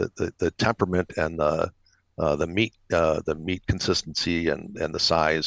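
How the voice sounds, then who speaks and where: This man has a very deep, low voice and an Upper Midwest accent. He talks at a moderate pace with ordinary pitch variation in a dry, close sound with no echo. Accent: Upper Midwest (Minnesota). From Minnesota. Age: 60s. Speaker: retired military officer and pig farmer. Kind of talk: casual interview. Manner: halting, many repetitions.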